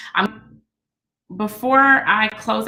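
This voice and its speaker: A woman speaks in a room with audible echo. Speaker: business coach. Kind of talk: teleconference presentation. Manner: fast.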